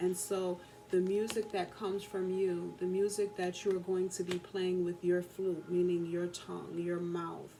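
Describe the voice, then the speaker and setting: A soft-spoken, monotone, flat delivery at a fairly slow pace over noticeable background noise. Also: woman. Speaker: tarot and oracle card reader. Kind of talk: oracle card reading. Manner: soft-spoken, talking very low.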